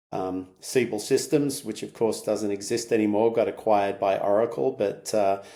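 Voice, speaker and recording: Speaking with an American accent, a man has a fairly low pitch and a dark, mellow tone at a moderate pace. The recording is very clean, with a silent background. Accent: Australian with slight US twang. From Australia. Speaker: tech company CEO. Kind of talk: podcast interview. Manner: hesitant, many fillers.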